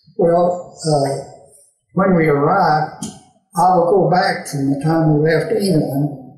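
A man with an American accent, fairly high-pitched, at a very slow pace with fairly even intonation, audible room echo, and a quiet background. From Tennessee, USA. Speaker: WWII veteran. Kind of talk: interview answer.

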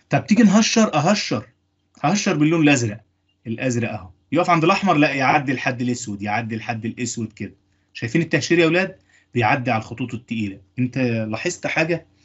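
A man talks at a medium pitch, somewhat breathy. His intonation is lively. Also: moderate pace. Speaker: engineering lecturer. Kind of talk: lecture.

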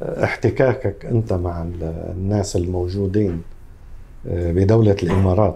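A man speaks in a Lebanese accent with a fairly low pitch. His voice is somewhat breathy, with a dark, mellow tone. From Lebanon, Tripoli. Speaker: salon owner. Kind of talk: interview. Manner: halting.

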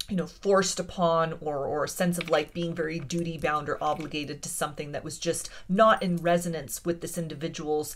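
Over light background noise, a woman with an unremarkable speaking voice talks fairly quickly at a fairly low pitch with fairly even intonation. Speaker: tarot reader. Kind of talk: pick-a-card reading monologue. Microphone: phone near.

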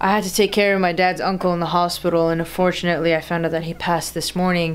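The woman's words come out at a very fast pace. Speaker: vlogger. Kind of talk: casual vlog chat. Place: home room. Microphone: phone near.

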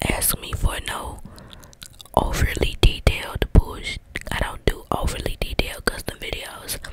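Whispering and soft-spoken, a woman talks at a moderate pace over loud background noise, the sound dry with no echo. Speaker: ASMR creator. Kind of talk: casual ASMR chat and role play. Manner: close soft ASMR whisper into mic. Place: home room. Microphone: handheld.

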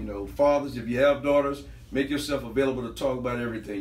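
With an American accent, a man talks at a fairly quick pace amid audible room echo. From US South, Lake Charles, Louisiana; Louisiana. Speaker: podcast panelist. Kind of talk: casual chat. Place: home room. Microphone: camera far.

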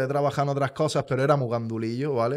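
Over a quiet background, a man with a fairly high pitch talks in a normal speaking voice with fairly even intonation. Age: 30s. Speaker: truck driver and youtuber; youtuber. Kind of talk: casual chat, personal testimony. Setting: studio. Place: studio. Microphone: studio mic.

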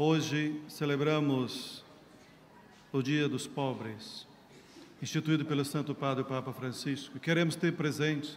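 A man talks at a fairly slow pace with flat, monotone intonation. Light background noise can be heard. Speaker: priest celebrating mass. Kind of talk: liturgical address and prayer. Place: church. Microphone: lapel.

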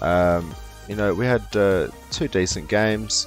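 Ordinary pitch variation runs through this voice, with music in the background. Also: man. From Australia (moved there as a child). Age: 20s. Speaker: gaming YouTuber. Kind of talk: casual video intro to camera.

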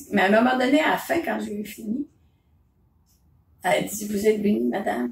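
Very wide pitch swings mark this moderately paced speech, recorded with audible room echo and light background noise. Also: woman, medium pitch for a woman. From Quebec. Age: 70s. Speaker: mother telling memories. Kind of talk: casual conversation, telling memories. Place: home room. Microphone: phone near.

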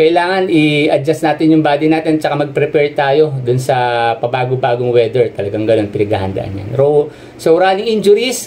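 A man talks at a fairly quick pace while light background noise runs underneath. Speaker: running coach or runner. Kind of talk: presentation talk over slides. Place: home room. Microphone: webcam.

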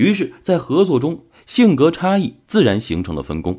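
On a very clean recording with a silent background, a man with vocal fry speaks at a fairly slow pace, his pitch swinging very widely. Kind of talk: audiobook-style book summary narration. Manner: steady, measured, explanatory; formal, narrative storytelling tone.

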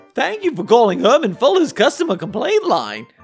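A put-on character voice with fairly high pitch moves at a fairly quick pace over faint background music. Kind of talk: polite, professional phone greeting. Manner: forced cheerful.

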